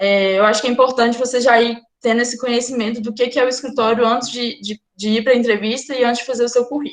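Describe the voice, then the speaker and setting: A woman talks at a very fast pace and a high pitch in a monotone, flat intonation. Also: hardly any pauses. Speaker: law student, workshop speaker. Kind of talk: workshop talk.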